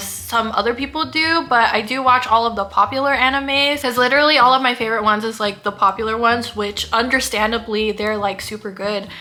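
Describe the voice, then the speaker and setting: A woman with a fairly high pitch and ordinary pitch variation talks fairly quickly while noticeable background noise carries on. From US, mainly California. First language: Kapampangan. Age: 30s. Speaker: lifestyle vlogger. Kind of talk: casual vlog talk to camera. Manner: animated.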